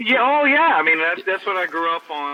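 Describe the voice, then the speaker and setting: Fairly quick speech in a Texan accent, with noticeable background noise. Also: man. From Texas, Longview. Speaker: rock guitarist. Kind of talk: interview. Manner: halting, many repeated words.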